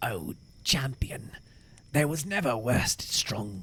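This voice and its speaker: At a moderate pace, a man speaks at a medium pitch. He uses a put-on character voice. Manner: pleading, groveling.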